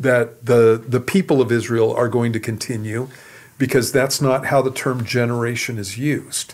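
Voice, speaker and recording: A man with an ordinary speaking voice talks at a medium pitch and a moderate pace. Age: 60s. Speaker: pastor. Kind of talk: Q and A teaching on radio.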